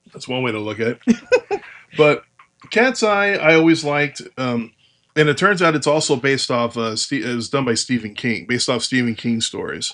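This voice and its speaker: This man's voice sits at a fairly high pitch. His intonation is lively. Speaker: podcast host. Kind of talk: casual podcast talk. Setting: muffled home recording. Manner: fast.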